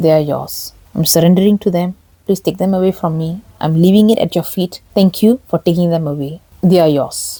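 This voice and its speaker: A woman speaks in a somewhat breathy, dark, mellow voice at a fairly low pitch with fairly even intonation. The sound is dry and close, with no echo. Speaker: faith and relationship channel host. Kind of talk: spiritual teaching talk. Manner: slow.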